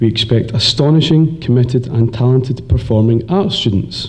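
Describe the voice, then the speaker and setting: A man with a slight Scottish accent talks at a moderate pace, medium in pitch with ordinary pitch variation. His voice is somewhat breathy. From Scotland. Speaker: teacher. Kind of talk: graduation speech.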